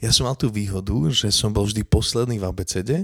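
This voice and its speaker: In a very clean recording with a silent background and a dry, close sound with no echo, a man with an ordinary speaking voice talks at a fairly low pitch and moderate pace. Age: 30s. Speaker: podcast host. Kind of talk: casual chat. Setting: home kitchen.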